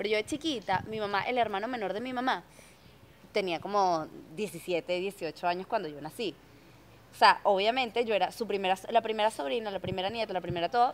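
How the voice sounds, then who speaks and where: Talking at a very fast pace, a woman uses lively intonation at a fairly high pitch. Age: 30s. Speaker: podcast host. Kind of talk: casual chat. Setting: radio studio.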